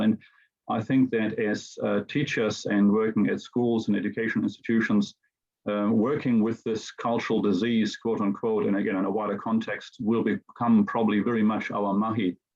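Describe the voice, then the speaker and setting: A man speaks at a moderate pace and medium pitch with a German accent. His intonation is monotone and flat. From Germany. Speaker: teacher. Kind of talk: presentation. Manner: halting, many fillers.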